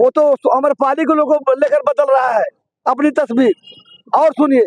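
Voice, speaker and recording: An extremely high-pitched man speaks with very even loudness in a dry, close sound with no echo. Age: 70s. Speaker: local party supporter interviewed on street. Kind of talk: street interview, political opinion. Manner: animated.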